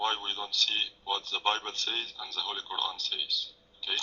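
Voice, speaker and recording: A non-native accent at a moderate pace. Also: man. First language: not English. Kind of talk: heated debate. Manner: halting.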